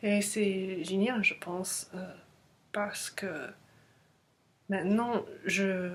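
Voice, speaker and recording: At a very slow pace, the speaker talks with a non-native accent. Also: woman. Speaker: language learner vlogger. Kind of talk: casual vlog monologue. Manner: halting, many hesitations.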